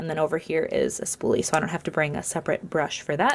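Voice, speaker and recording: A very clean recording of a woman, the background silent. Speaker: beauty vlogger. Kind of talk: casual makeup tutorial. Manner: casual, filler-heavy; fast.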